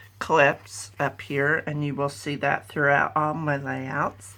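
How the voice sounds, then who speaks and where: Very slow and marked by vocal fry, a woman speaks with a very deep, low pitch and a bright, sharp tone on a very clean recording with a silent background. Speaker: scrapbooker. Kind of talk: craft layout share.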